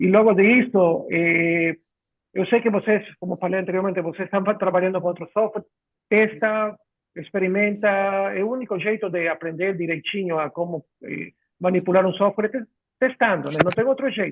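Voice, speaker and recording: The speaker has a Spanish accent and a moderate pace. Pitch varies in an ordinary way. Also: man, high pitch for a man. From Ecuador. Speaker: software company clinical director. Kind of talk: live webinar chat. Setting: video call. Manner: halting.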